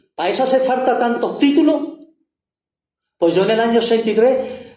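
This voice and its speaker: This man's voice carries audible room echo. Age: 70s. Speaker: activist. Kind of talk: public speech. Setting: panel event with audience. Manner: halting.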